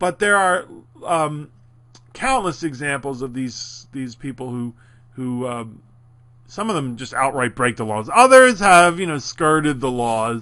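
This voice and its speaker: In a Philadelphia accent, a man speaks at a moderate pace. His tone is bright and sharp. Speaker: college instructor. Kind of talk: lecture. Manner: animated.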